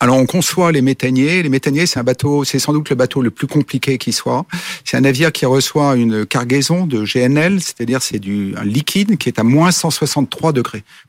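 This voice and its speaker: A man with an unremarkable speaking voice talks at medium pitch and a moderate pace with ordinary pitch variation, in a very clean, silent recording that is dry and close with no echo. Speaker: company CEO. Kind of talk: interview.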